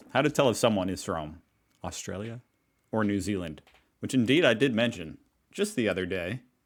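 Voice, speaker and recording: With an American accent and fairly low pitch, a man talks at a fairly quick pace with lively intonation and long, frequent pauses on a very clean recording with a silent background. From United States. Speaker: reaction video creator. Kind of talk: casual talk to camera. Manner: upbeat.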